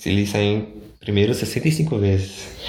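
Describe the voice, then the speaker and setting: The pace of this man's speech is very slow. There is audible room echo, and background noise is noticeable too. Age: 20s. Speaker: podcast co-host. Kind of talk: casual chat.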